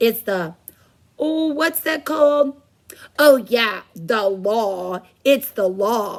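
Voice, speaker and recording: A woman uses a put-on character voice, fairly high in pitch with very wide pitch swings, speaking very slowly with long, frequent pauses. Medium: read story.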